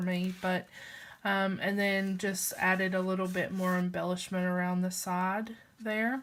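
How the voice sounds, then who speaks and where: On a very clean recording with a silent background, the speaker talks at a fairly slow pace with an American accent. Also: woman. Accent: Southern US, said to be changing. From Alabama, US South. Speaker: crafter tutorial vlogger. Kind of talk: craft tutorial. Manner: casual, hesitant with fillers.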